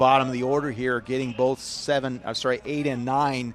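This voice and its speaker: This man has a Chicago accent and a medium pitch. He talks at a fairly quick pace. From US Midwest, Chicago. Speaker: baseball commentator. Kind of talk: live commentary. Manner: animated.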